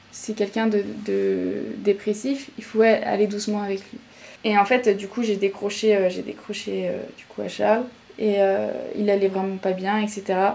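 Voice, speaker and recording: Over noticeable background noise, a woman talks at a medium pitch and a moderate pace with monotone, flat intonation. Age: 20s. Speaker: podcast guest. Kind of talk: personal story in interview. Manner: hesitant.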